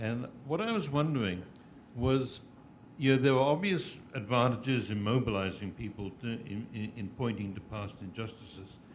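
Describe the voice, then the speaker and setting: Audible room echo surrounds a man of medium pitch speaking at a moderate pace with ordinary pitch variation. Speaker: audience member asking a question. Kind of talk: audience question. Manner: halting.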